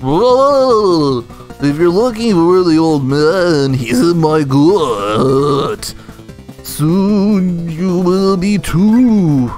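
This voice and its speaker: A man's put-on character voice, high-pitched and at a very slow pace, with clear music in the background. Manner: menacing.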